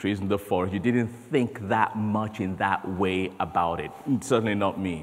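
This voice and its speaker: The intonation of a man's speech stays fairly even. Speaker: conference speaker. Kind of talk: sermon. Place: church.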